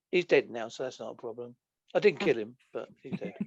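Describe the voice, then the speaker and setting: A man speaks in an Essex accent at a fairly high pitch. The sound is dry and close, with no echo. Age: 50s. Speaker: podcast guest, author. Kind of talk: casual chat. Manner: halting.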